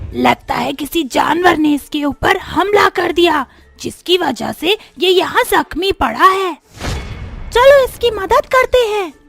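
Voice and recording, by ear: An extremely high-pitched cartoonish character voice moves at a fairly slow pace over faint music in the background.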